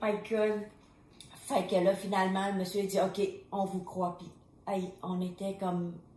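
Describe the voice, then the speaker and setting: A woman with a Vietnamese accent at medium pitch, fairly slow and monotone, with long, frequent pauses and audible room echo. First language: Vietnamese (speaking French). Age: 50s. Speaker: refugee mother of hosts. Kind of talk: personal testimony.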